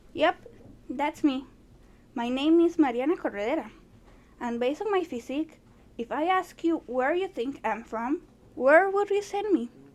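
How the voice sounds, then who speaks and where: A woman speaks at a moderate pace in a high, lively voice, with long, frequent pauses. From Costa Rica. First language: Spanish. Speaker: student. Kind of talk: class presentation.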